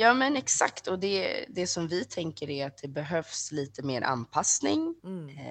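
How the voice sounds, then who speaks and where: Speaking at a fairly slow pace with hardly any pauses, a woman with a fairly low voice swings her pitch very widely. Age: 30s. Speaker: sexology student. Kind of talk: interview.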